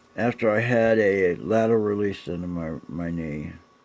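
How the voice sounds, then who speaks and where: A man's fairly slow speech comes with noticeable background noise behind it. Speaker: chronic pain patient vlogging. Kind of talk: personal video diary. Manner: halting, repetitive.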